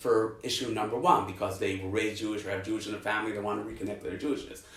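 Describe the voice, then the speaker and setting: Audible room echo fills this recording. The man's pitch shows ordinary variation. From New York, Brooklyn. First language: Yiddish. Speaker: academic researcher. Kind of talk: interview conversation. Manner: halting, many repetitions.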